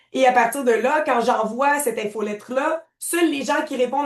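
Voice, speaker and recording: A woman talks at a moderate pace in a high pitch. Her pitch variation is ordinary. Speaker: software trainer. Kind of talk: tutorial.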